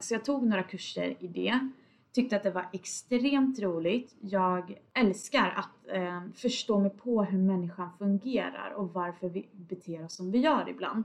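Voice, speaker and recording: Speaking at a fairly slow pace with hardly any pauses, a woman has an unremarkable speaking voice at medium pitch with ordinary pitch variation. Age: 20s. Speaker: podcast host, data analyst. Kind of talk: casual solo podcast monologue.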